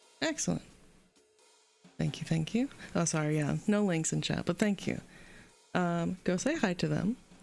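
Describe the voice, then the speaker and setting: A woman speaks at a moderate pace with very even loudness and long, frequent pauses. Music is playing in the background. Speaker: streamer. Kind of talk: live stream sign-off. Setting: live stream. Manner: casual, chatty.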